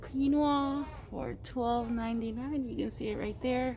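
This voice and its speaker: Mumbling at a very slow pace, a woman with a fairly high pitch speaks amid audible room echo. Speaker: shopping vlogger. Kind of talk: casual shopping vlog. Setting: in a store. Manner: muffled mumbling through mask.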